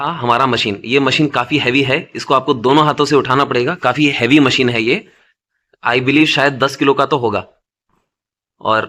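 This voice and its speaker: With a bright, sharp tone, a man speaks using fairly even intonation. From South India. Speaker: badge machine seller. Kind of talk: product tutorial and sales pitch.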